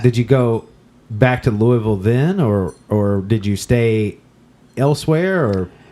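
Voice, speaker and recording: A man with a normal speaking voice, medium in pitch, speaks at a fairly slow pace with lively intonation. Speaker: podcast host. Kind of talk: casual interview questions.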